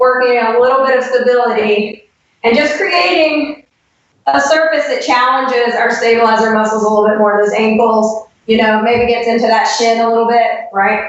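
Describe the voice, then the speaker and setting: Her loudness stays very even as a woman talks at a fairly high pitch. Pitch variation is ordinary. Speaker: fitness trainer and former roller derby skater. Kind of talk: exercise tutorial. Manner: fast.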